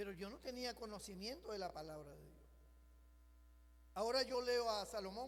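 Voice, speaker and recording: A man's high voice at a moderate pace, with long, frequent pauses, big swings in loudness and audible room echo. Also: ordinary pitch variation. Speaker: pastor. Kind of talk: sermon. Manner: animated.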